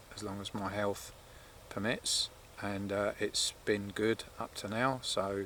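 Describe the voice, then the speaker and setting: A man speaks with fairly low pitch. His intonation is monotone and flat. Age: 60s. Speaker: outdoor vlogger and wild camper. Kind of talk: casual fireside monologue to camera. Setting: outdoors at a coastal wild camp. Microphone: camera's built-in mic, no external mic.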